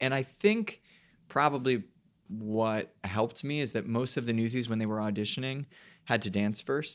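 An unremarkable speaking voice, this man's is medium in pitch with fairly even intonation and a moderate pace, on a very clean recording with a silent background. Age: 20s. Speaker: Broadway actor and podcast co-host. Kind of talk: casual chat.

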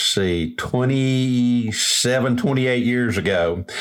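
An ordinary speaking voice, a man's, at a medium pitch with ordinary pitch variation. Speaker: radio host. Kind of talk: casual interview chat.

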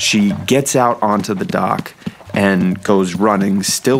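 Noticeable background noise behind a man with an American accent, fairly low in pitch, with fairly even intonation at a very slow pace. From US Northeast, New Hampshire. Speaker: navy photographer. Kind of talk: personal storytelling.

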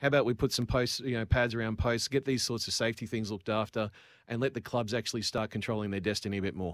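Very fast speech in an Australian accent, with fairly even intonation. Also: man, medium pitch for a man. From Queensland, Australia (Cairns). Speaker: business owner. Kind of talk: radio interview. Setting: remote call into radio studio.

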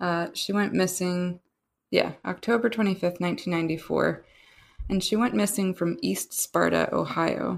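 At a moderate pace, a speaker with an American accent is heard on a very clean recording with a silent background. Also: woman. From Pennsylvania, US. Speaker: citizen researcher, guest. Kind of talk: casual discussion of a case.

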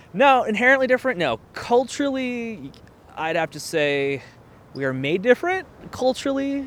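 This man's pitch is extremely high and swings very widely, while his loudness shifts a lot. He keeps a moderate pace over noticeable background noise. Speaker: guest. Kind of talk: casual chat.

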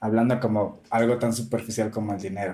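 The voice belongs to a man and sounds somewhat breathy. Its tone is dark and mellow. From Venezuela. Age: 30s. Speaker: drag queen and entrepreneur. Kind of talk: casual interview. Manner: animated.

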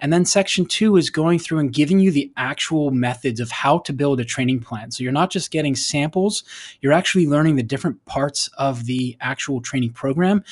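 Over a quiet background, a man with a normal speaking voice and fairly high pitch talks at a fairly quick pace with ordinary pitch variation and hardly any pauses. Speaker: strength and cycling coach. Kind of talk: interview. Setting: remote call. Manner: instructive.

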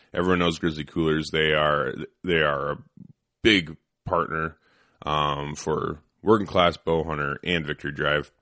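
Against a quiet background, a man speaks at a moderate pace with fairly even intonation and long, frequent pauses. His very deep, low voice has a bright, sharp tone. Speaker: podcast host, firearms instructor. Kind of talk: casual chat. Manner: mumbling, doesn't open mouth much.

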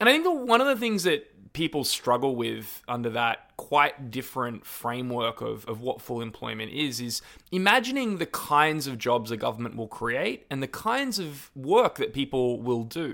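A man with an Australian accent talks at a moderate pace with hardly any pauses. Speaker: podcast host and campaigner. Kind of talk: interview.

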